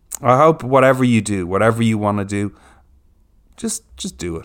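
In an Irish accent, a man speaks fairly quickly with an animated tone and a fairly low pitch, on a very clean recording with a silent background. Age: 40s. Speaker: podcast host. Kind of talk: casual interview chat. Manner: animated, excitable.

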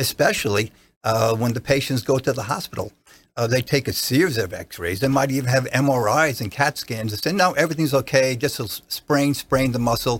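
In a New Jersey accent, a man with a medium-pitched, somewhat breathy voice speaks at a moderate pace with ordinary pitch variation on a very clean recording with a silent background. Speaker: doctor. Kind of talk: casual interview. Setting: studio.

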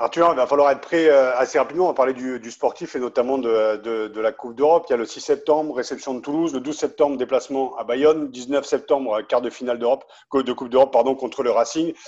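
A man at a very fast pace, medium in pitch, with fairly even intonation and big swings in loudness, against a quiet background. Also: hardly any pauses. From Picardy. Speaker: podcast host. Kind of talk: interview.

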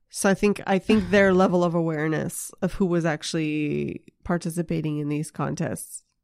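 The recording is very clean, with a silent background. The speech moves at a moderate pace with hardly any pauses. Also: woman, fairly low pitch for a woman. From New Brunswick, Canada (Moncton, French-speaking). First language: French. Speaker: stand-up comedian and screenwriter. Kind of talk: casual chat. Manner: animated, hyper.

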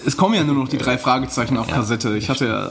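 Through noticeable background noise comes a man's voice at medium pitch. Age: 30s. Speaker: pulp fiction author. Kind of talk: interview.

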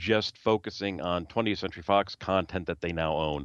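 A fairly low-pitched man with an unremarkable speaking voice, ordinary pitch variation and a moderate pace. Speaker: Disney fan who attended shareholders meeting and tweeted. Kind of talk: casual interview chat.

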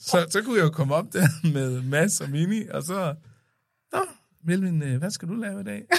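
A man talks at a fairly slow pace, his high voice carrying lively intonation. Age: 30s. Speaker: podcast guest, son of host. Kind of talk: casual chat.

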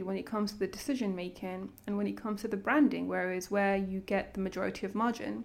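A woman with a London accent speaks at a fairly quick pace and a medium pitch. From London, raised from age nine after childhood in Sudan. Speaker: banker and coffee brand founder. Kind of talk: casual interview. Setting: in person.

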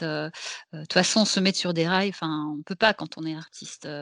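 In a normal speaking voice, a woman talks at a fairly low pitch with ordinary pitch variation, in a dry, close sound with no echo. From Belgium. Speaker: actress and singer. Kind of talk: casual chat.

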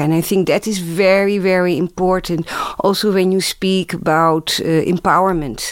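The woman's pitch is medium and her intonation fairly even. She keeps a moderate pace. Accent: Dutch. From Netherlands. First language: Dutch. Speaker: museum director and anthropologist. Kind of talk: panel discussion.

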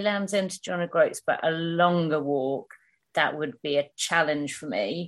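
Speaking at a moderate pace, a woman talks with a southern English accent. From England, Hertfordshire. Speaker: long-distance hiker and environmental campaigner. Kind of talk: casual chat interview.

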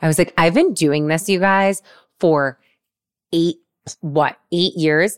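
A woman talks at a moderate pace. The sound is dry and close with no echo, on a very clean recording with a silent background. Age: 40s. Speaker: podcast host and fitness instructor. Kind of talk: casual interview chat.

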